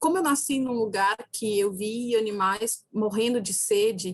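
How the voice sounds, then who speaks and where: A somewhat breathy woman's voice at a fairly high pitch, with ordinary pitch variation. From Brazil, Ceará backlands (sertão). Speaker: philosophy professor. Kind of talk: lecture.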